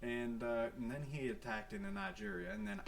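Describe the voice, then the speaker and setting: A man's very fast speech with very wide pitch swings, set against noticeable background noise and audible room echo. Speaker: gaming YouTuber. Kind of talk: gameplay commentary. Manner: soft-spoken; casual, many fillers.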